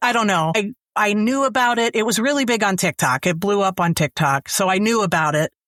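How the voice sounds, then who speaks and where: An unremarkable speaking voice moves at a moderate pace with lively intonation. The sound is dry and close with no echo, on a very clean recording with a silent background. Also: woman. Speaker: audiobook narrator. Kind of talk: interview answer.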